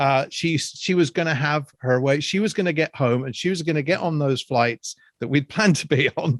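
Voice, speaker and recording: A man with an English accent talks at a fairly quick pace. The sound is dry and close with no echo, in a very clean recording with a silent background. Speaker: podcast co-host. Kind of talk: casual chat.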